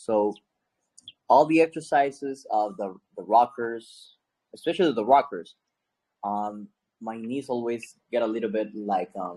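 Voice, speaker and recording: Dark and mellow in tone, the voice moves at a fairly slow pace with long, frequent pauses and ordinary pitch variation. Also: man, medium pitch for a man. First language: not English. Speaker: class participant. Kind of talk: casual chat. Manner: halting.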